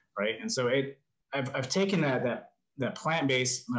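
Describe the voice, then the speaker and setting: Using lively intonation, a man with an American accent talks at a moderate pace and medium pitch in a somewhat breathy voice. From New Mexico, US Southwest. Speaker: life coach and motivational content creator. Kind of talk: casual interview conversation.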